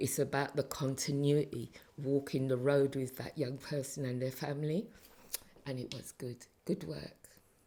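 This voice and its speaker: With long, frequent pauses, a woman with a London accent speaks at a moderate pace in a very deep, low pitch, her tone dark and mellow and her intonation fairly even. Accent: London English with Caribbean heritage. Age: 60s. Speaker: retired council community safety officer. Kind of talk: interview.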